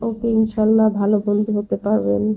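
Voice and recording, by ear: A woman's fairly quick, monotone and flat delivery with vocal fry. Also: medium pitch for a woman.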